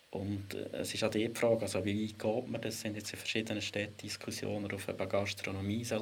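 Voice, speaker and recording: A man's fairly low-pitched, monotone voice with flat intonation and audible room echo. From Switzerland, Lucerne. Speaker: historian and spatial planning expert. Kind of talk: casual discussion.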